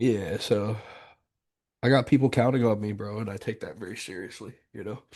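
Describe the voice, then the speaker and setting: A man with a Southern US accent talks at a fairly quick pace in a fairly low pitch, yet leaves long, frequent pauses. His intonation is fairly even, his loudness swings widely, and the background is quiet. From US South, South Carolina. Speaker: business coach. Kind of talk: coaching call. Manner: casual.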